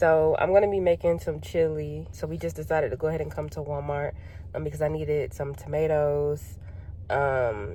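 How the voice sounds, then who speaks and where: Moderately paced speech from a woman, set in audible room echo. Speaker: vlogger. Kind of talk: casual vlog chat. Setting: in a car.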